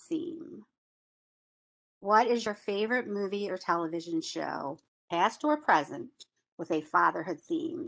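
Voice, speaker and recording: A bright, sharp voice with an American accent swings very widely in pitch, moving at a fairly slow pace with long, frequent pauses. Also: woman. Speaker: session facilitator. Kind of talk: panel moderation.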